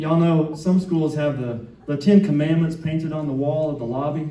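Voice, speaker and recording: A man with an American accent speaks in a fairly high voice. Audible room echo and noticeable background noise fill the recording. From US South, Atlanta (South Side). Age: 50s. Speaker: stand-up comedian. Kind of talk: stand-up. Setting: stage with audience.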